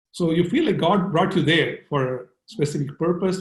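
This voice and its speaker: The voice carries vocal fry and lively intonation at a moderate pace. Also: man. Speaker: surgeon. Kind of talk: interview.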